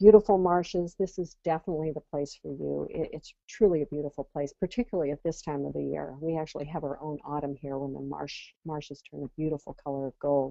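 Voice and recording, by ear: A woman's dark, mellow voice with vocal fry and an American accent, at a moderate pace, in a dry, close sound with no echo.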